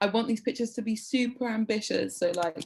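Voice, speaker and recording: A woman with a British accent talks at a moderate pace. Her voice is somewhat breathy, with ordinary pitch variation. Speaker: editor leading a journalism workshop. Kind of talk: online workshop presentation. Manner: casual with many fillers.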